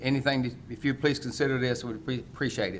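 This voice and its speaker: A man speaks at a medium pitch with a North Carolina accent. Audible room echo is present. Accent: Southern American (North Carolina). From US South (North Carolina). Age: 60s. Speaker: local elected official speaking as citizen. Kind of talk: public comment at county meeting.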